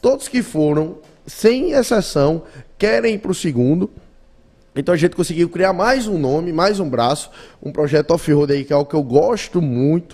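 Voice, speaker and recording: Lively, high-pitched male speech at a middling rate. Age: 20s. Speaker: automotive content creator and radio host. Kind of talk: casual interview.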